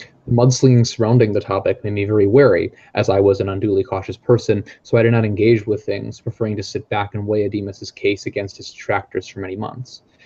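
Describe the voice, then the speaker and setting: Speaking at a very fast pace with hardly any pauses, a man with a fairly low pitch sounds somewhat breathy, his intonation monotone and flat while his loudness swings widely. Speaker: trainee practitioner. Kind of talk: reading aloud.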